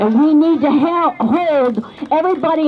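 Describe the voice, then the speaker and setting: There is a woman's voice. Behind it sits noticeable background noise. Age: 60s. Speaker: rally speaker. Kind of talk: rally speech. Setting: outdoor rally at city hall.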